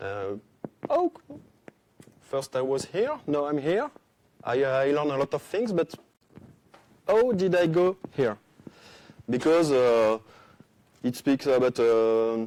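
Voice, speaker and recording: A man with a French accent speaks at a very slow pace, leaving long, frequent pauses, his fairly high voice dark and mellow in tone with lively intonation. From France. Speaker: conference speaker, software developer. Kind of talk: conference talk. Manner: halting, many hesitations.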